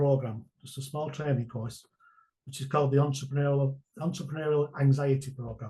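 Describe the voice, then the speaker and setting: A man has a dark, mellow tone that is somewhat breathy. His pitch is fairly high, with fairly even intonation. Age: 60s. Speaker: online business mentor. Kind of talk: interview answer.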